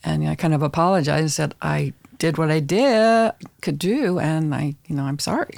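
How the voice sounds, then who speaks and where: A woman's very deep, low voice with an American accent, fairly slow, in a very clean recording with a silent background. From US, military family. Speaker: author. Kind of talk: interview.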